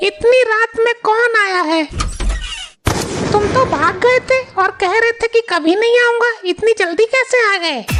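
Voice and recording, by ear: A woman uses a cartoonish character voice at an extremely high pitch and a moderate pace. Background noise is clearly audible.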